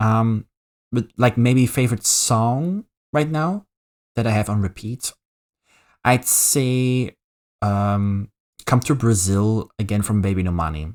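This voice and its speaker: Speaking very slowly with long, frequent pauses, a man uses a Flemish Belgian accent at medium pitch. The sound is dry and close with no echo, on a very clean recording with a silent background. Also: ordinary pitch variation. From Belgium (Flemish). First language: Dutch. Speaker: VTuber streamer. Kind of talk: casual live-stream chat. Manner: halting, many fillers and repetitions.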